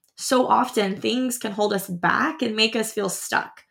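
A fairly high-pitched woman with a normal speaking voice talks at a moderate speed, her pitch varying in an ordinary way. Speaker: podcast host and high school teacher. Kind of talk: heartfelt motivational pep talk addressed directly to the listener. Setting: studio. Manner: warm, earnest and reassuring, piling up affirmations; gently urging, repetitive exhortations like a cheering friend.

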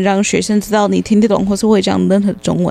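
A woman talks at a moderate pace. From United States. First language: English (speaking Chinese). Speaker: English tutor. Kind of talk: casual chat.

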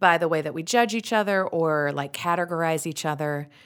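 An animated voice in a strong Utah accent, fairly quick in pace, with ordinary pitch variation. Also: woman. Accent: thick Utah. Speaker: actress and radio host. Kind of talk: casual interview chat. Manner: animated, humorous.

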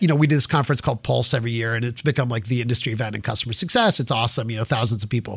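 Barely pausing, a man speaks at a very fast pace in a somewhat breathy voice with ordinary pitch variation. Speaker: tech company CEO. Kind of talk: interview. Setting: in-person studio at VC office. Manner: fast talker; high energy.

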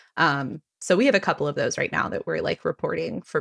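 A woman speaks at a fairly quick pace with an American accent, in a very clean recording with a silent background and a dry, close sound free of echo. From Texas. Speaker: podcast host and writer. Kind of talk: casual chat.

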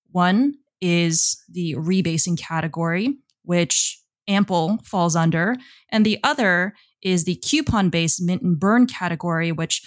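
An unremarkable speaking voice from a woman, fairly low in pitch, on a very clean recording with a silent background. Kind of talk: interview.

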